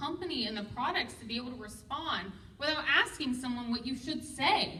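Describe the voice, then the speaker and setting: A woman's raised, projected voice, animated in tone, at a moderate pace with audible room echo. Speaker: direct sales team leader. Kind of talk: motivational training talk. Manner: loud.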